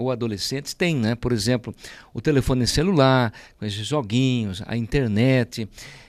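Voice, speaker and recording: In an ordinary speaking voice, a man talks at a fairly slow pace and medium pitch, with a dry, close sound with no echo on a very clean recording against a silent background. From Brazil, Sorocaba (São Paulo state). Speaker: politician, mayor-elect. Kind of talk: interview.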